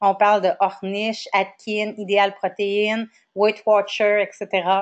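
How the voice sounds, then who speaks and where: With a Quebec accent, a woman speaks at a fairly slow pace and medium pitch against a quiet background. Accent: Québécois. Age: 40s. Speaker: wellness coach. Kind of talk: lecture. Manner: hesitant, many fillers.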